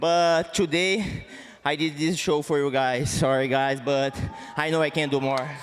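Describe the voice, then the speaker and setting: A man's fairly high pitch in a Portuguese accent, fairly slow and fairly even, over noticeable background noise. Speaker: MMA fighter. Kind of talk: post-fight interview. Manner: halting.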